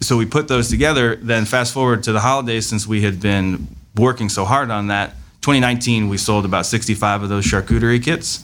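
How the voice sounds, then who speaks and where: The recording is very clean, with a silent background. A man with an ordinary speaking voice talks at a medium pitch and a fairly quick pace, with ordinary pitch variation. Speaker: salami maker and food business owner. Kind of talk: casual interview chat.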